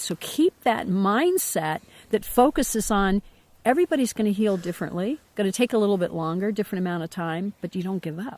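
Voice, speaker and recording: A woman's medium-pitched voice with an American accent, moderate in pace and lively in intonation, in a dry, close sound with no echo on a very clean recording with a silent background. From Ohio, near Cincinnati. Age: 60s. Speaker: host's mother. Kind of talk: casual chat. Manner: halting.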